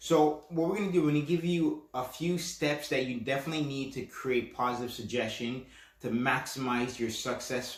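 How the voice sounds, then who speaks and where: A man talks at a moderate pace in a medium pitch, with ordinary pitch variation and hardly any pauses. There is audible echo from the room. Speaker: podcast host, self-hypnosis coach. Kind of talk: instructional podcast talk. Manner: casual, with fillers and restarts; stutters at times.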